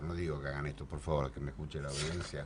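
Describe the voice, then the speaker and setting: With an Argentine accent, a man talks through noticeable background noise and audible room echo. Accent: Rioplatense Argentine Spanish. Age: 60s. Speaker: radio host. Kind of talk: political panel discussion.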